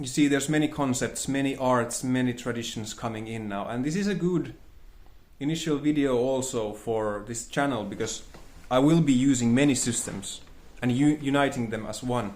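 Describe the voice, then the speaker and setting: A man of medium pitch with a non-native accent, at a moderate pace with ordinary pitch variation, in audible room echo. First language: not English. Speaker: spiritual teacher, channel host. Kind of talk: monologue lecture. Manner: halting, searching for words.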